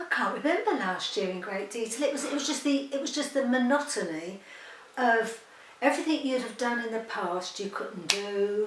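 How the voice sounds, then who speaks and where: Audible room echo fills the recording. Noticeable background noise runs underneath. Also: woman, high pitch for a woman, lively intonation, moderate pace. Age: 70s. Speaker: interviewee. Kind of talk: interview.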